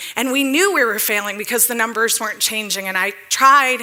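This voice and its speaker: Over noticeable background noise, a woman with an American accent is speaking. She keeps a moderate pace and ordinary pitch variation. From Detroit, US Midwest. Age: 40s. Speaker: economic developer, speaker. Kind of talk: public talk.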